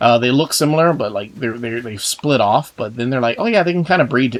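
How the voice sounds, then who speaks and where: A man with an American accent speaks at a medium pitch while music plays in the background. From Texas. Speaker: gaming YouTuber. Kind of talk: casual gameplay commentary. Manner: rambling, many fillers and repeats.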